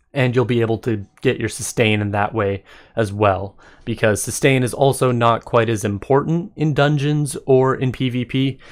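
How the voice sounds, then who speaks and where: In a very clean recording with a silent background, a man talks at a moderate pace in an unremarkable speaking voice, medium in pitch with ordinary pitch variation. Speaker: gaming content creator. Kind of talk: video game commentary.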